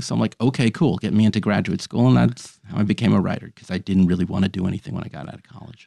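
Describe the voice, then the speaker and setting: A man talking very fast with lively intonation, a fairly low pitch and vocal fry, his dark, mellow tone dry and close with no echo, over a quiet background. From New York City, Manhattan. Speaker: storyteller. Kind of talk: casual interview chat.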